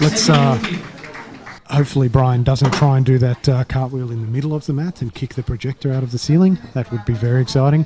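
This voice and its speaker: Someone with an Australian accent talks at a very fast pace with ordinary pitch variation, against noticeable background noise. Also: man, medium pitch for a man. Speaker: sports commentator. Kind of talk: live commentary. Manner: casual, animated.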